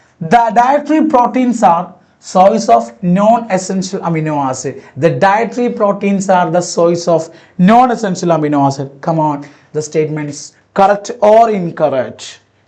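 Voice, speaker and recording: A man talks at a moderate pace with lively intonation and a high pitch. Audible room echo surrounds his voice. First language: not English. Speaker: biology teacher. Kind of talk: lecture. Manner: repetitive, halting.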